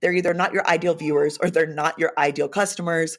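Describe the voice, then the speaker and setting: A woman with an American accent talks in an animated tone at a fairly quick pace with a fairly low voice. The recording is very clean, with a silent background. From Los Angeles area, US West Coast. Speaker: videographer and video confidence coach. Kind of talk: podcast interview. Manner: loud; animated, expressive.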